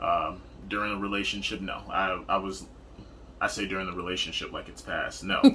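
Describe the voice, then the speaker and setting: With audible room echo, a man speaks at a moderate pace in a very deep, low pitch. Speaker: partner of a type one diabetic. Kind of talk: casual chat.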